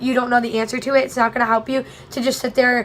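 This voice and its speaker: A high-pitched woman at a very fast pace, amid noticeable background noise. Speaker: college student vlogger. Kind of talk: casual vlog tutorial.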